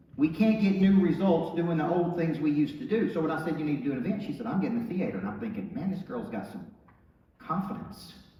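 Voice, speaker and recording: Over noticeable background noise, a man with an American accent talks at a very fast pace, with a high pitch and lively intonation. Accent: Southern US accent noted by TV producers. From Tennessee small town. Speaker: motivational speaker and business coach. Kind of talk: motivational speech. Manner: animated.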